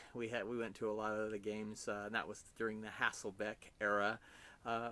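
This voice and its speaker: This man speaks with a fairly low pitch. His pace is fairly quick. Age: 50s. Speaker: football fan with terminal cancer. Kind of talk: personal video appeal. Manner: halting, many fillers.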